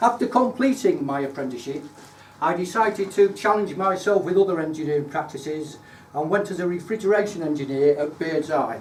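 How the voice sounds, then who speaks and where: A man with a Lincolnshire accent talks fairly quickly in a high voice with lively intonation, over noticeable background noise. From Lincolnshire, England. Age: 60s. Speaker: retired engineer giving a club speech. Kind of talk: prepared speech. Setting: speaking club meeting with audience. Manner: formal.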